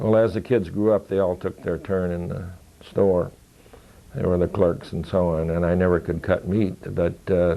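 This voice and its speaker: Very deep and low in pitch, a man with an American accent speaks at a moderate pace. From Michigan, US (Lansing). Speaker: war veteran. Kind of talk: oral history interview. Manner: halting.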